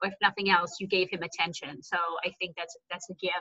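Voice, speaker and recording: Against a quiet background, a woman speaks at a very fast pace in an enthusiastic tone. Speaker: podcast host. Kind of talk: interview. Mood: warm, enthusiastic. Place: home room. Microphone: video call.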